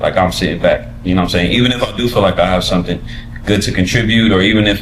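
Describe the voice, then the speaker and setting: A man speaks with lively intonation over noticeable background noise, with audible echo from the room. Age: 30s. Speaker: rapper. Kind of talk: casual chat.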